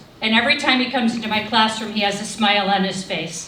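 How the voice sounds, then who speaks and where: Fairly high-pitched female voice at a fairly quick pace amid noticeable background noise. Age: 60s. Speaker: teacher. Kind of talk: award speech.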